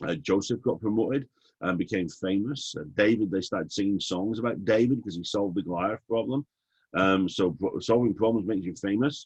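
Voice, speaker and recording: Against a quiet background, a man with an English accent talks at a fairly quick pace. His pitch is fairly low, with ordinary variation. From England. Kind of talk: webinar teaching session. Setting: online webinar. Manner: animated.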